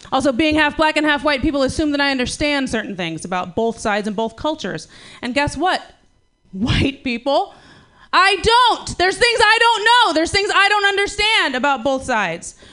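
A woman projects a raised voice, high in pitch and bright and sharp in tone, with very wide pitch swings at a moderate pace. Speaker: comedian. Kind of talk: stand-up banter. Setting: stage with audience.

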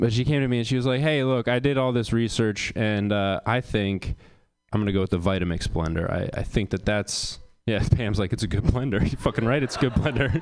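The man has a plain, everyday voice at a medium pitch. He talks at a fairly quick pace with ordinary pitch variation. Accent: American. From US Northeast, rural Maine. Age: 20s. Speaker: comedian. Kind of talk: stand-up. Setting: stage with audience.

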